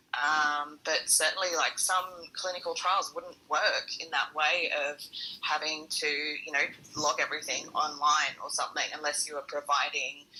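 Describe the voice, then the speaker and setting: A woman with an Australian accent talks at a moderate pace. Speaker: long covid patient, audience participant. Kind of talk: casual panel discussion. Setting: audio chat room.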